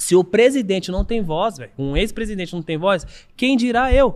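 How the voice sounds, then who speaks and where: A man is speaking. His intonation is lively. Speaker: ex-convict debating a police officer. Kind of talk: heated debate.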